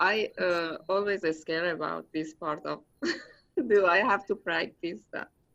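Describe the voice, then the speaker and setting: Bright and sharp in tone, a woman speaks with a non-native accent and ordinary pitch variation. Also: fairly low pitch for a woman, fairly slow pace. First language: non-native English speaker. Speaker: student. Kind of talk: casual chat. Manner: halting.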